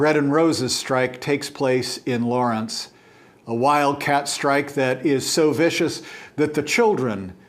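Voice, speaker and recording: Audible room echo surrounds a man whose fairly high voice shows ordinary pitch variation. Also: fairly slow pace. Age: 60s. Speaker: church teacher. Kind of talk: lecture.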